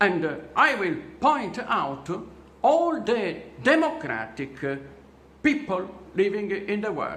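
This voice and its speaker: A man with a non-native accent at a very slow pace, very wide pitch swings, audible room echo and noticeable background noise. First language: not English. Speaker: vlogger telling his own story. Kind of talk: personal testimony monologue. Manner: halting, many fillers.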